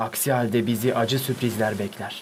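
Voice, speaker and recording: A man with an unremarkable speaking voice talks at a moderate pace, medium in pitch, with fairly even intonation. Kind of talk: literary audiobook reading of diary prose.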